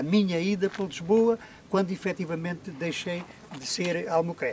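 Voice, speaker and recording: A man's voice has ordinary pitch variation and keeps a moderate pace. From Portugal, Alegrete (Alto Alentejo). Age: 80s+. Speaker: interviewee, former muleteer. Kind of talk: life story interview. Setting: outdoors in the hills. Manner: halting, repetitive.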